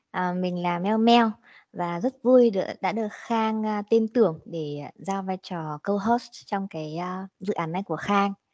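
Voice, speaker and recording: A woman speaks very slowly at a medium pitch with ordinary pitch variation. The sound is dry and close with no echo, and the background is quiet. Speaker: podcast co-host. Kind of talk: casual chat.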